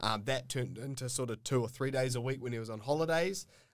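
A fairly quick delivery in a New Zealand accent, very cleanly recorded over a silent background. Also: man. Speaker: plumber and trade educator. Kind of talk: casual chat. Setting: studio.

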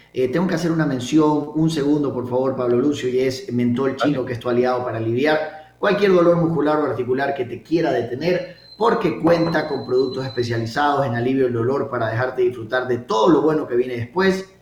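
With audible room echo and noticeable background noise, the voice moves at a fairly quick pace with hardly any pauses and ordinary pitch variation. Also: man, medium pitch for a man. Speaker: radio host. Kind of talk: radio talk show.

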